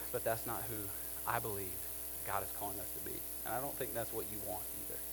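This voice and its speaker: A very fast-talking man with very wide pitch swings and long, frequent pauses, plus audible room echo and noticeable background noise. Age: 30s. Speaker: pastor. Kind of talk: sermon.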